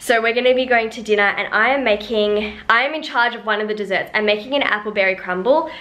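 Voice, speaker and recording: A woman's fairly high voice moves at a fairly quick pace against noticeable background noise. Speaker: lifestyle vlogger. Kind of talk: casual vlog chat. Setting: at home. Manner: fast; animated.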